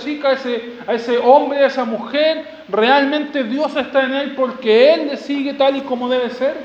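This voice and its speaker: An extremely high-pitched man with an animated tone, talking at a moderate pace with hardly any pauses over noticeable background noise. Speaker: preacher. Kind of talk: expository sermon to a congregation, teaching through scripture verse by verse. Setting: church. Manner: animated, rhetorical, urgent; repeats key phrases, with direct questions and calls to respond.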